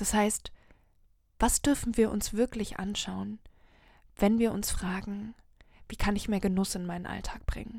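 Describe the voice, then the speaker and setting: At a fairly slow pace with long, frequent pauses, a woman speaks at medium pitch in a dark, mellow, somewhat breathy tone with monotone, flat intonation. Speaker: podcast host and happiness coach. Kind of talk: solo inspirational monologue. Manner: slow, savouring.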